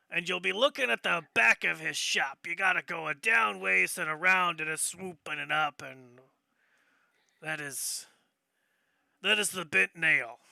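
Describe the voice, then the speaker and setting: A man puts on a raspy character voice, fairly high in pitch with very wide pitch swings, at a moderate pace with long, frequent pauses. The recording is very clean, with a silent background and a dry, close sound with no echo. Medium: actual play. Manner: rambling, folksy.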